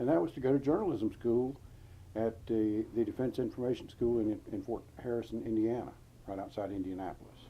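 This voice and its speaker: Speaking at a fairly quick pace, a man with a North Carolina accent has a medium pitch and ordinary pitch variation. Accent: Southern US (North Carolina). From US South, North Carolina. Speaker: war veteran. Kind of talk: interview. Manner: halting.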